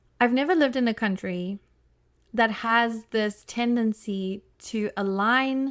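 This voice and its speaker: Recorded very cleanly over a silent background, a woman with a South African accent talks in an animated tone at a fairly high pitch. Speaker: podcast host, family therapist. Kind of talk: solo podcast monologue. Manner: casual, animated.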